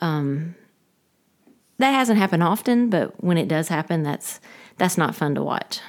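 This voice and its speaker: With a Southern US accent, a woman with a fairly low voice talks at a moderate pace with lively intonation and long, frequent pauses, on a very clean recording with a silent background. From US South, Georgia. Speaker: pastor's wife and former teacher. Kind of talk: casual interview.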